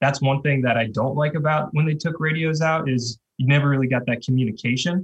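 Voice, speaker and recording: In an American accent, a man speaks fairly quickly with hardly any pauses and a somewhat breathy sound. His pitch is fairly high, his intonation fairly even, and his loudness very even. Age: 30s. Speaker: retired pro cyclist. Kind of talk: podcast interview.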